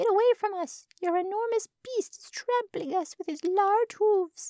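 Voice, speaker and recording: A put-on character voice pitched extremely high. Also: moderate pace. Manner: crying out, shouting.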